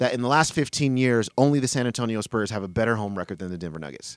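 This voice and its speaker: An unremarkable speaking voice from a man at medium pitch, with lively intonation and a dry, close sound with no echo. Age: 40s. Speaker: basketball analyst co-host. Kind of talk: casual sports discussion podcast.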